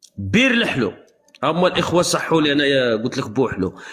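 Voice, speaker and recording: A man's voice with lively intonation at a moderate pace, music in the background. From Algeria. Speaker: live streamer. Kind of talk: heated debate. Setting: livestream. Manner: animated.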